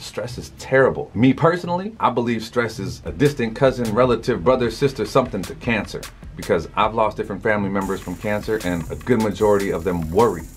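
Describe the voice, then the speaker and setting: A man talks at a very fast pace and medium pitch with hardly any pauses. His intonation is lively, and music plays in the background. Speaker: motivational speaker. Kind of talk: motivational talk to camera. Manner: casual, conversational.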